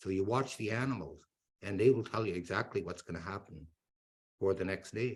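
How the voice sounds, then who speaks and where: A man with a fairly low pitch delivers his words at a fairly quick pace, somewhat breathy, his pitch varying in an ordinary way. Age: 60s. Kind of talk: educational talk. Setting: webinar.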